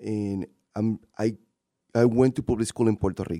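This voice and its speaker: A man with a Spanish accent talks at a fairly quick pace in a dark, mellow tone, in a very clean recording with a silent background and a dry, close sound with no echo. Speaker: city council president and candidate. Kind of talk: interview. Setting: radio studio.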